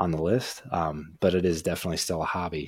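The speech moves at a fairly quick pace. The recording is very clean, the background silent. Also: man. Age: 20s. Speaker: podcast co-host and YouTuber. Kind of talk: casual chat.

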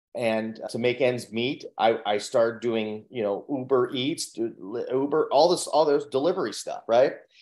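A man with a plain, everyday voice talks at a medium pitch and fairly slow pace, with ordinary pitch variation and hardly any pauses. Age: 40s. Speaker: mindset coach and speaker. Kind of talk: interview, personal story.

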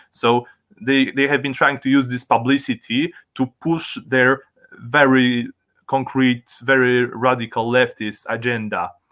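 With a Polish accent, a man of medium pitch talks at a fairly slow pace using fairly even intonation. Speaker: libertarian activist. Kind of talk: interview. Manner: halting.

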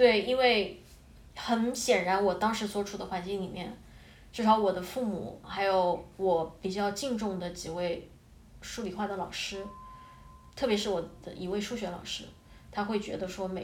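Fairly even intonation marks a woman's voice, heard with audible room echo. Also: big swings in loudness. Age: 20s. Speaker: former programmer, aspiring fashion design student. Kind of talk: casual interview conversation.

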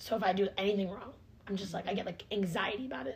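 The delivery is very fast and animated, with a somewhat breathy quality. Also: woman. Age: young. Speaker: podcast co-host, college student. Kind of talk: casual chat.

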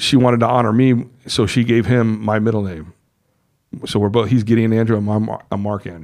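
Here a man talks at a fairly quick pace in an ordinary speaking voice of medium pitch, with fairly even intonation. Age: 50s. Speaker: returning podcast guest. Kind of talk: casual chat.

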